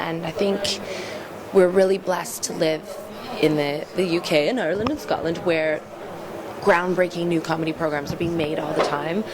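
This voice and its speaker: Over noticeable background noise, a woman with a Canadian accent speaks at a moderate pace, her fairly low voice showing ordinary pitch variation. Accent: Canadian, kept after five years in UK. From Canada, small town. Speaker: comedian. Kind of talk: interview.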